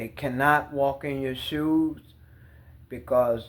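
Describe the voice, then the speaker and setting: This man's voice sits fairly high in pitch. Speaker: tarot reader. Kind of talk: tarot reading. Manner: slightly impaired speech.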